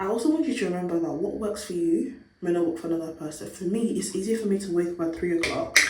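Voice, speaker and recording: A woman talks in a fairly low pitch. Noticeable background noise can be heard. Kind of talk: casual talk to camera.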